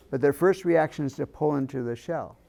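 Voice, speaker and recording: Dark and mellow in tone, a man speaks with an American accent. The recording is very clean, with a silent background. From US Midwest, rural farm. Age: 60s. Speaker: grief counselor. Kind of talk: workshop presentation. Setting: room with live audience. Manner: conversational, asks audience questions.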